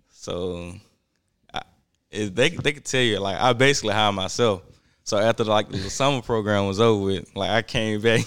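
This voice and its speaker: A man's fairly low voice in a Southern US accent, on a very clean recording with a silent background. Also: ordinary pitch variation, moderate pace. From US South. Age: young. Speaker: sneaker store worker. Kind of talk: casual chat.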